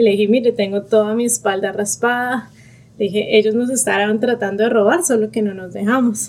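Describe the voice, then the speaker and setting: In a normal speaking voice, a woman talks at a fairly quick pace with a fairly high pitch and fairly even intonation. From Colombia, Bogotá. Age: 30s. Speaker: pediatric neurologist. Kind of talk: personal testimony.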